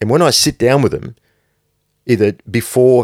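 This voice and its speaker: A man talks at a fairly quick pace in an ordinary speaking voice, recorded dry and close with no echo, very clean, with a silent background. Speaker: podcast host and brand founder. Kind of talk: pep talk; motivational monologue, solo podcast. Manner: intense, blunt, hard-driving motivational delivery; forceful, direct, no-nonsense.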